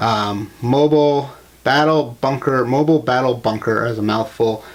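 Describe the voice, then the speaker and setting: A man with a medium pitch talks with fairly even intonation, keeping a moderate pace. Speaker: toy collector YouTuber. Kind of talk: casual video review. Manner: hesitant, filler-heavy.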